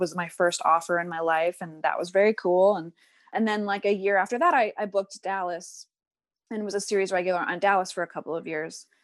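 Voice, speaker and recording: A woman with an ordinary speaking voice, a fairly quick pace and ordinary pitch variation, over a quiet background. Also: dry, close sound with no echo. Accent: American. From US Northeast, rural New Jersey and New York City. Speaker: actress. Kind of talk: casual chat. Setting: video call.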